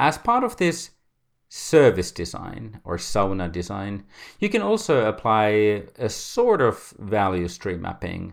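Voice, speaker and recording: In a Finnish accent, a man speaks at a very slow pace with a fairly low pitch and lively intonation. The recording is very clean with a silent background. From Finland. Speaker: podcast host. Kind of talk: semi-scripted solo podcast talk.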